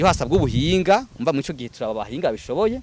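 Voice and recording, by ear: A man talks at a very fast pace with a fairly high pitch and big pitch swings. His tone is slightly mellow.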